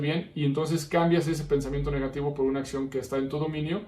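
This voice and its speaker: With monotone, flat intonation, a man speaks fairly quickly. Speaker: podcast host, psychologist. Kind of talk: podcast monologue.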